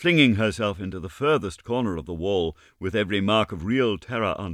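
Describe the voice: Text is read out plainly. Nothing more than reading aloud is heard.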